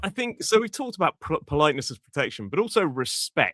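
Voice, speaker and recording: In an RP accent, a man talks with vocal fry and very wide pitch swings. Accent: modern RP. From England. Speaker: English teacher. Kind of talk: podcast conversation.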